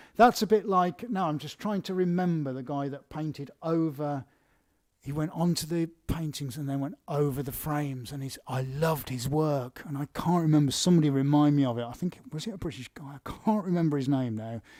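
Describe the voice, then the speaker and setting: Speaking at a fairly quick pace, a man talks with an English accent. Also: fairly high pitch for a man, ordinary pitch variation. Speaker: artist hosting live Q&A. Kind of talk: live stream Q&A. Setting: art studio live stream. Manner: casual, chatty.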